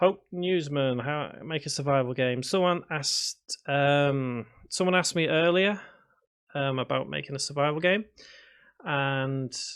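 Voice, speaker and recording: A man speaks at a fairly slow pace and a fairly high pitch, with ordinary pitch variation. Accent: Liverpool. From northern England, Liverpool (Prescot). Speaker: game development tutor. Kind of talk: live stream chat while coding. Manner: hesitant, many fillers; mumbles to himself.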